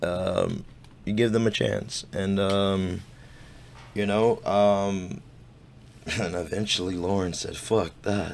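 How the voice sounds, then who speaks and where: A man talks very slowly at a fairly low pitch, with fairly even intonation and long, frequent pauses. Room echo is audible. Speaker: YouTube commentator. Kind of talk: reaction commentary. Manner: stammering; halting.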